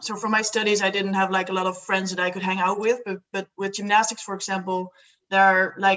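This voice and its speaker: In a Dutch accent, a woman talks at a fairly quick pace. Her pitch is medium and her intonation monotone and flat. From Netherlands. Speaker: student and solo traveller. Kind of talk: casual interview chat.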